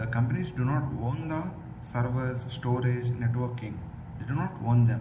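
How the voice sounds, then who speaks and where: Noticeable background noise and audible room echo surround the recording. A man speaks at a medium pitch with monotone, flat intonation. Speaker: tech tutorial presenter. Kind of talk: tutorial. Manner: slow, deliberate; frequent pauses.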